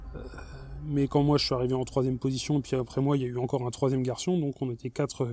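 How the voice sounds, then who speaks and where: A man talks at a fairly quick pace and a medium pitch. His tone is dark and mellow. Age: 40s. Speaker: former Jehovah's Witness giving testimony. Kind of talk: personal testimony monologue. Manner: hesitant, many repetitions and fillers.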